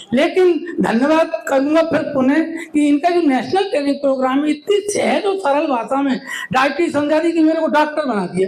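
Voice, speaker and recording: A man speaks at an extremely high pitch with ordinary pitch variation and very even loudness. His pace is moderate, and there is noticeable background noise. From Madhya Pradesh, India. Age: 70s. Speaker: retired government official, diabetes awareness volunteer. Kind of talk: speech at a meeting.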